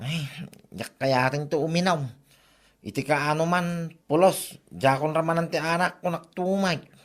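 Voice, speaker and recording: A man uses a put-on character voice with a fairly high pitch. He goes at a fairly slow pace with fairly even intonation. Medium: audio drama. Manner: grumbling, defensive.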